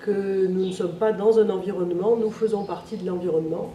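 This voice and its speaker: With audible room echo and noticeable background noise, a woman talks at a medium pitch with fairly even intonation. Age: 60s. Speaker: local political candidate. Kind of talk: interview. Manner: hesitant, many filler sounds.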